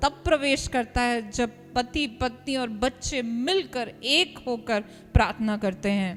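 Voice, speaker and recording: With music in the background, a woman with an Indian accent speaks in a high pitch at a very slow pace, with ordinary pitch variation and hardly any pauses. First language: Hindi. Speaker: interpreter translating the sermon into Hindi. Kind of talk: live sermon interpretation.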